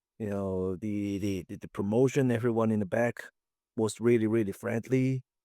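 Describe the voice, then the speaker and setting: In a Hong Kong accent, a man speaks with a dark, mellow tone and ordinary pitch variation. The sound is dry and close with no echo, on a very clean recording with a silent background. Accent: Hong Kong Cantonese-accented English. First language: Chinese. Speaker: professional wrestler. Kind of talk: interview. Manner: halting.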